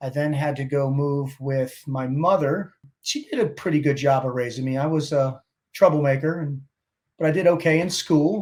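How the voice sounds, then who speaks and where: In an American accent, a man speaks with a somewhat breathy voice at a fairly high pitch, keeping his intonation fairly even. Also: moderate pace. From Baltimore, Maryland (Dundalk). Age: 50s. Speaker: Navy SEAL veteran and motivational speaker. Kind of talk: interview.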